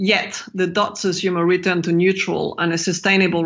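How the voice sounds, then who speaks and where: A woman's fairly low voice with a French accent. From France. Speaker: macro strategist. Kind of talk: interview.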